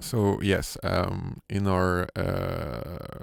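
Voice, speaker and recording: On a very clean recording with a silent background, a man speaks at a fairly low pitch with a French accent. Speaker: sound designer. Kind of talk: tutorial. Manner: halting, many fillers.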